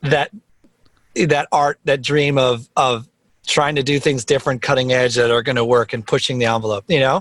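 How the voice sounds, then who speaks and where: In an American accent, a man speaks at a moderate pace and medium pitch, with a dry, close sound and no echo. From New Jersey (Teaneck). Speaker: music producer. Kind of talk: casual interview chat. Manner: loud; animated.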